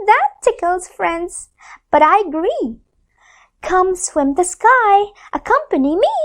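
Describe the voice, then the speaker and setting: Putting on a squeaky character voice, a woman speaks at an extremely high pitch with very wide pitch swings, a fairly slow pace and long, frequent pauses. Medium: read story.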